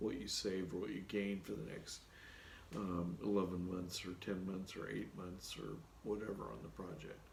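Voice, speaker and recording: With audible room echo, a man talks at a moderate pace and a very deep, low pitch. His voice has vocal fry, and his pitch varies in an ordinary way. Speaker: project management consultant and YouTuber. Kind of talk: solo Q&A video talk. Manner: casual with many fillers.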